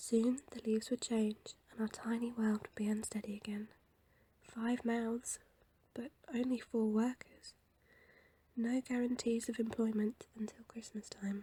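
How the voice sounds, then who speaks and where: A soft-spoken woman with a fairly high pitch, dark, mellow tone, flat monotone intonation and a fairly slow pace. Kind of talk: audiobook reading.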